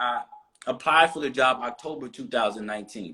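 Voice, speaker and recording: A man with an East Coast US accent, a bright, sharp tone and a fairly quick pace. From US East Coast. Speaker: interview guest. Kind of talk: casual interview.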